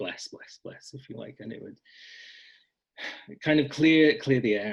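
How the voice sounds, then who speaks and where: This is a man speaking in a Scottish accent. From Scotland. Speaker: blogger and author on folk magic. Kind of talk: casual interview conversation.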